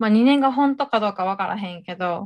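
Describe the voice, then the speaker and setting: A woman with a plain, everyday voice speaks fairly high and fairly quickly with ordinary pitch variation, on a very clean recording with a silent background. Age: 20s. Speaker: podcast co-host. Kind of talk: casual chat.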